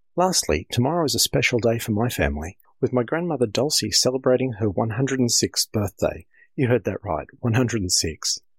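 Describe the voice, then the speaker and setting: A man with an Australian accent talks at a fairly quick pace in a medium pitch, his voice swinging very widely in pitch over vocal fry at a very even loudness, recorded very cleanly with a silent background and a dry, close sound with no echo. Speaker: amateur radio association director. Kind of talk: scripted news segment.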